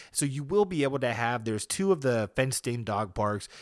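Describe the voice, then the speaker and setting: Man at a medium pitch with very wide pitch swings and a fairly quick pace, on a very clean recording with a silent background. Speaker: solo podcaster. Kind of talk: casual monologue. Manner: subdued.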